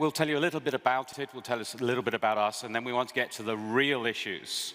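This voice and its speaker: A man's medium-pitched voice with a British accent over noticeable background noise. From Britain. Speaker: think tank speaker. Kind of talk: conference presentation.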